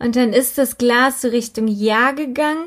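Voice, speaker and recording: A woman speaks with ordinary pitch variation. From Germany, Übach-Palenberg near Aachen. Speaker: true crime podcaster. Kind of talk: casual storytelling chat.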